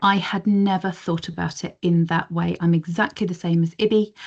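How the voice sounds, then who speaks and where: A woman talks at a fairly quick pace in an English accent, her voice somewhat breathy. Her intonation stays fairly even against a quiet background. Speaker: community paediatric nursing service manager. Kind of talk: professional discussion in online meeting. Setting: video call.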